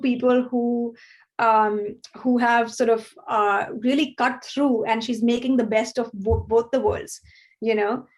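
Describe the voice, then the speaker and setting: With a high pitch and ordinary pitch variation, a woman speaks at a fairly slow pace and very even loudness against a quiet background. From India. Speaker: filmmaker. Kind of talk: interview. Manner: halting, many repetitions and fillers.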